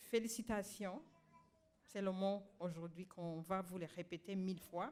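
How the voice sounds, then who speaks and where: A woman speaks in an ordinary speaking voice at a medium pitch. Her pace is fairly slow, with ordinary pitch variation. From Rwanda. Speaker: honoree and activist. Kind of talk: ceremony acceptance speech. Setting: graduation ceremony with audience.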